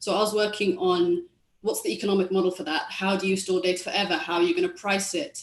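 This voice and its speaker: Speaking at a medium pitch with lively intonation, a woman talks in a London accent. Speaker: tech policy economist. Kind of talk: panel discussion.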